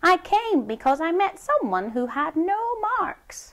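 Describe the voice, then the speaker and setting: A woman performs a put-on character voice at an extremely high pitch. She goes at a fairly slow pace, with very wide pitch swings. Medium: read story. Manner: timid.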